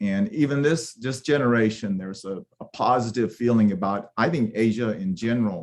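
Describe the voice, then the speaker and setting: Speaking at a moderate pace and medium pitch, a man with a Korean accent uses lively intonation. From Japan, then Los Angeles. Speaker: professor, panelist. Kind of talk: panel discussion. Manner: halting, many fillers.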